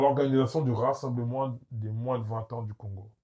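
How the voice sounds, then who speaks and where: Speaking very slowly, a man with a medium-pitched, somewhat breathy voice has a dark, mellow tone. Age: 20s. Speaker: football coach. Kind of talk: casual chat. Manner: animated.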